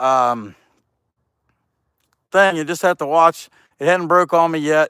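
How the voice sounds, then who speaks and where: In a very clean recording with a silent background and a dry, close sound with no echo, a man speaks at a fairly slow pace with a high pitch, a bright, sharp tone and lively intonation. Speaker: chainsaw carver. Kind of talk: livestream chat while carving.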